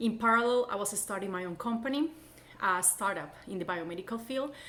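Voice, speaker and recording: This is a woman speaking with a Colombian accent. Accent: foreign, Colombian Spanish. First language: Spanish. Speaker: college instructor. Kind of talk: course introduction.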